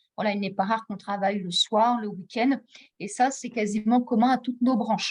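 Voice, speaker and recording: A woman speaks in a plain, everyday voice at a moderate pace, her fairly high pitch held in fairly even intonation. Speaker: training funding advisor. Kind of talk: webinar presentation. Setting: video call.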